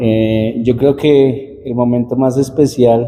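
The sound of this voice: A man speaks slowly with little pitch movement. His tone is dark and mellow.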